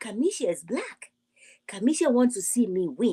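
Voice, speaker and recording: Recorded dry and close with no echo, a woman speaks at a high pitch and a moderate pace, her pitch swinging very widely. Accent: African. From Africa. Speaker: YouTube reality TV commentator. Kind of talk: live stream commentary. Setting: livestream. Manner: animated.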